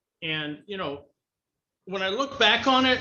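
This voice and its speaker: A man's high voice at a fairly quick pace, with lively intonation. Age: 60s. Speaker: motivational speaker and author. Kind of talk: interview.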